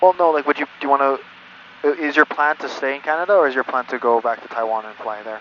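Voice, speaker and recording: A man speaks very fast at a fairly high pitch with ordinary pitch variation. His loudness swings widely, and background noise is noticeable. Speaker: flight instructor. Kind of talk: in-flight instruction and casual chat. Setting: small airplane cockpit.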